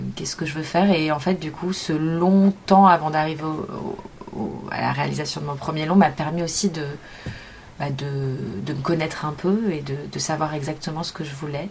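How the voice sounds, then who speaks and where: A woman with a very deep, low pitch speaks at a moderate pace and fairly even intonation, leaving long, frequent pauses amid noticeable background noise. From Paris suburbs, France (Montreuil). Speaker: film director. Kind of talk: interview. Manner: halting.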